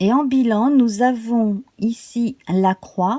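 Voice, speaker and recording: A woman speaks in a calm, soothing, dark and mellow tone, somewhat breathy, with ordinary pitch variation and a dry, close sound with no echo. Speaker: tarot reader. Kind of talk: tarot reading guidance video.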